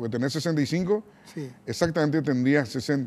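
A man's dark, mellow voice at a fairly slow pace, with lively intonation. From Paraguay. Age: 60s. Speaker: TV interview host. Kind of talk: interview. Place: studio. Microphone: lapel.

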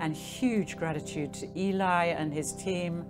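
This is a woman's voice. Clear music plays in the background. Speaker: speaker, voice teacher. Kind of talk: talk to a live audience. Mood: warm, playful, laughing. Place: tent. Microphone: handheld.

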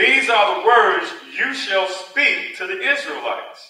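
A man speaks at a fairly slow pace in an animated tone. The room echo is audible, but the background is quiet. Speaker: preacher. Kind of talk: sermon. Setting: church. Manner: animated, call-and-response, joking with the congregation. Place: church.

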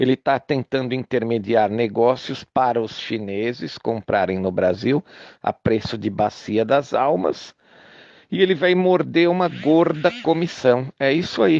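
With a Brazilian accent, a man talks at a fairly slow pace in a dry, close sound with no echo. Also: medium pitch for a man, lively intonation, quiet background. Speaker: political commentator recording an audio message. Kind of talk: angry political rant, audio message. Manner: indignant, sarcastic, hammering rhetorical questions; urgent, rallying, repetitive for emphasis.

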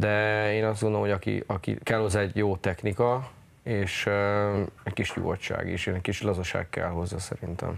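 A man with fairly low pitch speaks at a moderate pace in a monotone, flat intonation. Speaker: national team ice hockey coach. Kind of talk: TV studio interview. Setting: studio. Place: studio. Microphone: lapel.

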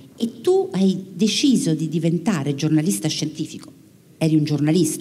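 At a moderate pace, a woman speaks in a dark, mellow tone. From Italy. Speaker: radio science journalist. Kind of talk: public interview on stage. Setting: theatre stage with audience. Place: stage. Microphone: handheld.

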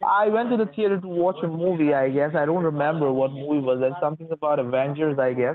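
A man at a fairly high pitch and a very fast pace, with hardly any pauses, ordinary pitch variation and very even loudness, a dry sound with no echo and light background noise. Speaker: phone scammer. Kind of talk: scam phone call. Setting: phone call. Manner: halting. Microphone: phone line.

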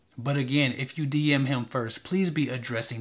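With intonation that stays fairly even, a man talks at a moderate speed. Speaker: dating advice vlogger. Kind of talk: advice commentary to camera. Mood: relaxed, slightly wry. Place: studio.

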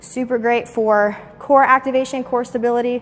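The speaker is a woman. She keeps a monotone, flat intonation throughout. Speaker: fitness trainer. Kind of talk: casual fitness tutorial and Q&A. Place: gym.

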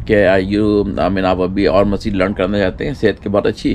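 Over light background noise, a man speaks with an unremarkable speaking voice at a fairly low pitch and moderate pace. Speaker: travel vlogger. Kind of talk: casual vlog chat. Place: street. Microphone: camera far.

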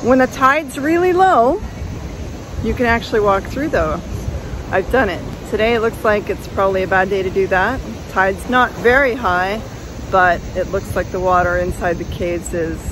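A woman's voice with lively intonation, a moderate pace and long, frequent pauses, dry with no echo, over noticeable background noise. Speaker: travel vlogger. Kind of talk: casual vlog chat. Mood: cheerful, enthusiastic. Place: beach. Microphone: phone near.

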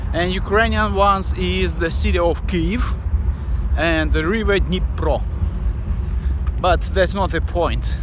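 The recording is dry with no echo, and a man talks at a fairly slow pace against noticeable background noise. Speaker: vlogger. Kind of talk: casual vlog chat. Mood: excited, enthusiastic. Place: street. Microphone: phone near.

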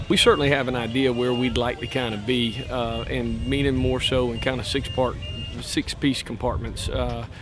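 Clear music plays in the background while a man speaks at a moderate pace, the sound dry with no echo. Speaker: football coach. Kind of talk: interview answer. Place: stadium.

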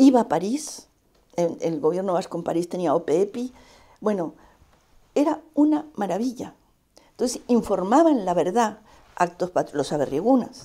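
Over a quiet background, a woman with a dark, mellow tone speaks at a fairly slow pace, her pitch swinging very widely between long, frequent pauses. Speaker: Basque exile radio veteran; interviewee. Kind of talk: interview testimony. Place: home room. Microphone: lapel.

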